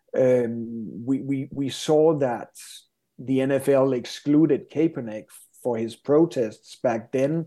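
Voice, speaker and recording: In a quiet setting, a man with a Danish accent speaks very slowly in a medium-pitched, dark, mellow tone. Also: ordinary pitch variation. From Denmark. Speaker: sports business expert. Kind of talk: interview.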